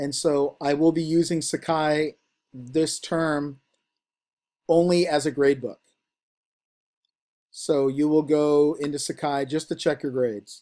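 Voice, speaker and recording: A man with a fairly high pitch speaks at a fairly slow pace with fairly even intonation. His speech has long, frequent pauses. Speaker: university instructor. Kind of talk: online lecture.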